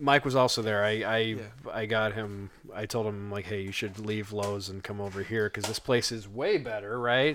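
Speech at a moderate pace with fairly even intonation comes through over noticeable background noise. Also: man, fairly low pitch for a man. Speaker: podcast co-host. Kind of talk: casual chat.

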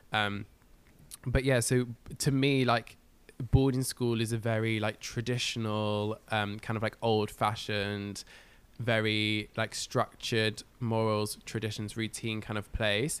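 A man talks with an English accent at a medium pitch and a fairly slow pace. His intonation is monotone and flat, and the recording is very clean with a silent background. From northwest England (Cumbria). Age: 20s. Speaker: musical theatre performer and podcaster. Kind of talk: casual chat.

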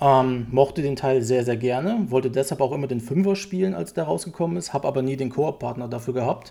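A man at medium pitch, dark and mellow in tone, very fast with hardly any pauses and lively intonation. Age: 30s. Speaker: games journalist. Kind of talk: casual chat.

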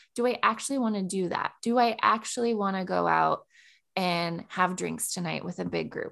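Against a quiet background, someone speaks at a moderate pace with an American accent. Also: woman. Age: 30s. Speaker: podcast co-host. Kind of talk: casual chat.

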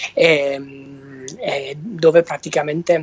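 This is a man speaking with a Basilicata accent. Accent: southern Italian, Basilicata. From southern Italy, Basilicata. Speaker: electric car travel blogger. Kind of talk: casual interview. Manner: halting, many repetitions.

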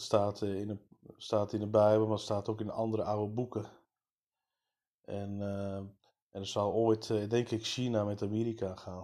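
Speaking in a flat monotone with long, frequent pauses, a man has a fairly low pitch and a dark, mellow tone. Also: moderate pace. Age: 30s. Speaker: podcaster. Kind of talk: political monologue. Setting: early morning recording.

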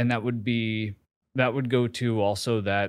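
A man with an American accent speaks at a medium pitch and a moderate pace. His intonation stays fairly even in a normal speaking voice. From US Northeast, New York City. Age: 40s. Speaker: marketing executive and social media creator. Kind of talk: casual interview.

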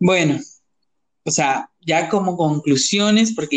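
A man with an animated tone and lively intonation, at a fairly slow pace. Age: 20s. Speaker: podcast co-host. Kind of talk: casual chat.

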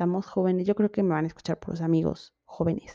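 In a Mexican accent, a woman speaks in an animated tone. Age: 20s. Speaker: podcast host. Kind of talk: casual monologue.

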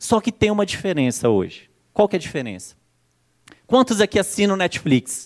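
A man with a high pitch and very wide pitch swings speaks with long, frequent pauses, the sound dry and close with no echo. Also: moderate pace, very clean recording, silent background. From Brazil, Brasília. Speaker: marketing consultant. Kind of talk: conference talk. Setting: stage with audience. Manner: animated.

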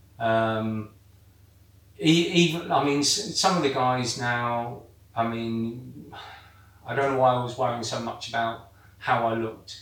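Speaking at a very slow pace with long, frequent pauses, a man uses a medium pitch and ordinary pitch variation, with audible room echo and noticeable background noise around him. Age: 50s. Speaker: weight-loss football programme member. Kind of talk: casual chat. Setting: hot indoor room. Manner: halting.

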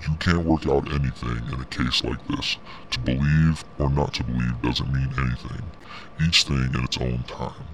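In a put-on character voice, a man growls out his words in a guttural, very deep, low register at a moderate pace, with clear background noise behind him.

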